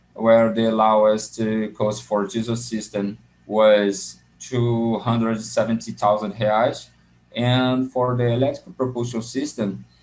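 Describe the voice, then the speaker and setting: Speaking with a Portuguese accent, a man at a medium pitch keeps his intonation fairly even. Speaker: graduate student presenting a paper. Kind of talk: conference paper presentation. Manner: halting, with many fillers; reading from notes.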